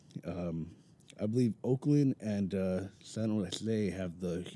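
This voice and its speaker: A man with an American accent, fairly low in pitch, dark and mellow in tone, with ordinary pitch variation. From Mountain View, California. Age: 20s. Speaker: podcast guest, kitchen worker. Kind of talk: casual chat. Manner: halting.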